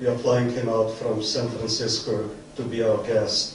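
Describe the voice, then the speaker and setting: Audible room echo and noticeable background noise surround the speaker. A man talks at a moderate pace. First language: Yiddish. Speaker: academic event host, professor. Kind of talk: formal introductory speech. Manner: formal.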